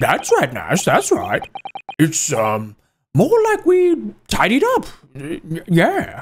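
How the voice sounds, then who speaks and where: A man in a put-on character voice, at a very slow pace with long, frequent pauses. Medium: video game. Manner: nervous, stammering.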